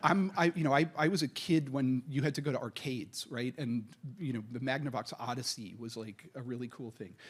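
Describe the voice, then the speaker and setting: A man with an American accent talks at a fairly quick pace and medium pitch with ordinary pitch variation, in a very clean recording with a silent background. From United States. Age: 60s. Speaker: venture capitalist. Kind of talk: panel discussion. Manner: halting, many fillers.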